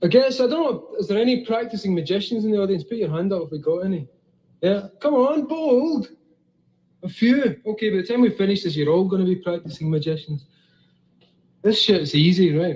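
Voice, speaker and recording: With a Scottish accent, a man speaks at a high pitch and fairly quick pace, his intonation lively. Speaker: comic writer giving a talk. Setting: stage, live audience. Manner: casual, blunt, profane.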